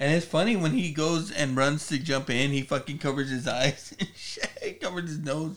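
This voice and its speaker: At a moderate pace, a man with a fairly high pitch uses a normal speaking voice with ordinary pitch variation. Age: 40s. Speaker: podcast co-host. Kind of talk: casual chat.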